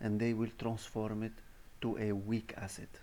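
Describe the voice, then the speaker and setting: Fairly low-pitched male speech at a fairly slow pace, with a non-native accent and audible room echo. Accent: non-native English, pronunciation mistakes. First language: not English (English is third language). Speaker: university lecturer. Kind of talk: recorded lecture. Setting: voice-over on presentation slides. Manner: halting, with fillers.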